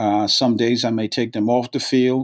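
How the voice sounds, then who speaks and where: Monotone, flat delivery from a man with an American accent, medium pitch, moderate pace, over a quiet background. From Brooklyn, New York. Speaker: college soccer coach. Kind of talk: interview conversation. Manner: halting, with frequent repeated words.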